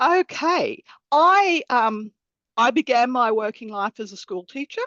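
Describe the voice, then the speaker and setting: Fairly slow, high-pitched speech from a woman with an Australian accent and very wide pitch swings. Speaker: accountant and bursar. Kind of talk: webinar interview.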